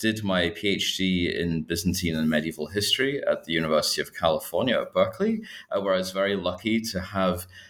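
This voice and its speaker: With a Scottish accent, a man speaks at a very deep, low pitch. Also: very clean recording, silent background. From Scotland. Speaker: historian, assistant professor. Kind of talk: interview about his book.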